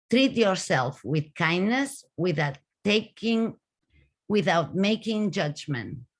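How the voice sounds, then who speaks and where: Very slowly and with very wide pitch swings, a woman with a Spanish accent speaks at a medium pitch in a somewhat breathy voice, captured in a very clean recording with a silent background. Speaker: author and caregiving speaker. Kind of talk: conference talk. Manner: halting.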